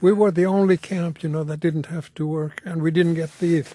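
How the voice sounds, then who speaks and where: Monotone, flat intonation at a moderate pace. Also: man. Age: 80s+. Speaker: Holocaust survivor. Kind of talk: interview. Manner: halting.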